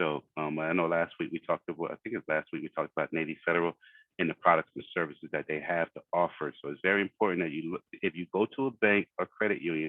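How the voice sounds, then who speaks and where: Talking at a very fast pace, a man with an American accent uses a very deep, low pitch with ordinary pitch variation. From Philadelphia, US. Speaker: financial coach. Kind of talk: online workshop presentation.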